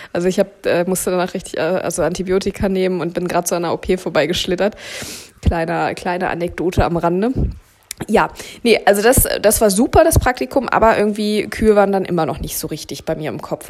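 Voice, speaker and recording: Someone talks at a very fast pace with ordinary pitch variation over noticeable background noise. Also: woman, medium pitch for a woman. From Berlin, Germany. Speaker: cattle veterinarian and podcast host. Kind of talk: casual monologue. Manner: hesitant with many fillers.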